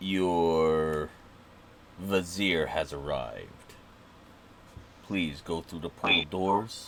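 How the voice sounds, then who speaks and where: A man's put-on character voice, very deep and low, very slow with long, frequent pauses and fairly even intonation, over clear background noise. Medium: actual play. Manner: formal, polite.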